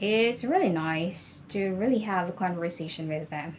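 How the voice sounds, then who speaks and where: The speaker is a woman with a Filipino accent. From Philippines. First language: Tagalog. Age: 40s. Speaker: ESL teacher. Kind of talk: mock job interview answers. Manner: halting.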